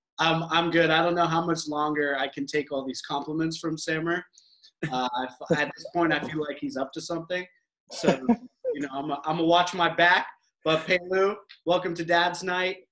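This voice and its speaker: A bright, sharp tone broken by long, frequent pauses. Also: man, high pitch for a man, fairly even intonation, moderate pace. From Middle East, born in US. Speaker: podcast co-host, dad. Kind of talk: casual chat.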